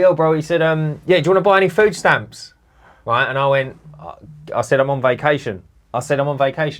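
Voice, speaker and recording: A man talks very fast in an animated tone, his pitch fairly high. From London. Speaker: cleaning business owner, podcast host. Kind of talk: casual chat.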